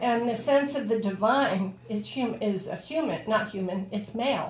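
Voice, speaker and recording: In a room with audible echo and noticeable background noise, a woman speaks at a fairly slow pace with ordinary pitch variation. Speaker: ordained priest and social worker. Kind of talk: sermon.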